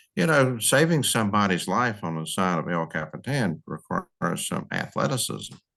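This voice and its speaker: Over music in the background, a man with a fairly low pitch talks at a moderate pace with very wide pitch swings and hardly any pauses. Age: 70s. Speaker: retired park service official, advocate. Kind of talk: podcast interview.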